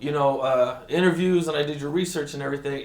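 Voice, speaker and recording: A man with an American accent speaks at a fairly quick pace and a fairly high pitch. Noticeable background noise runs under his voice. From Rialto, California. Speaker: interviewer. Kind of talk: casual interview questions.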